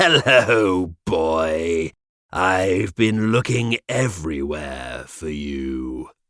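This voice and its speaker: Very slowly, a man growls out a raspy, put-on character voice pitched very deep and low. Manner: terrible, menacing.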